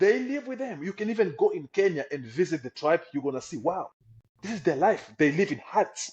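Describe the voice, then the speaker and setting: Speaking at a fairly quick pace with a Congolese accent, a high-pitched man makes big swings in loudness and very wide swings in pitch. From Democratic Republic of the Congo. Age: young. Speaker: refugee. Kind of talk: testimony.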